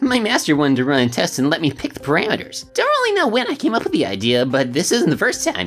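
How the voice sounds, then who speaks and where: With clear music in the background, a woman rattles off lines at a very fast pace in a put-on character voice. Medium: solo performance. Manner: smug, evasive.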